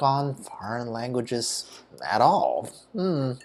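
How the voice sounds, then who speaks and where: Over noticeable background noise, a man with a Chinese accent speaks at a fairly high pitch. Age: old. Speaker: retired YouTuber. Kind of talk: casual rant vlog. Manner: casual, hesitant with fillers.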